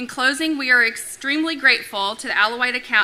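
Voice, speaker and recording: Noticeable background noise sits behind a woman talking very fast. Her pitch is high, with ordinary variation. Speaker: agricultural council president. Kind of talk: prepared remarks. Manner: loud.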